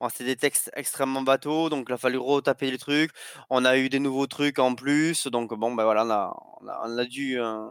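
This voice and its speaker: A man with a plain, everyday voice speaks at a moderate pace, medium pitch and fairly even intonation. The recording is very clean with a silent background, and the sound is dry and close with no echo. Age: 30s. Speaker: indie game developer. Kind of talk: casual interview.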